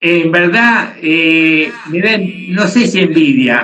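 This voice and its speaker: At a fairly high pitch, a man talks with ordinary pitch variation. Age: 70s. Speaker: bartender. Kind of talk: casual chat.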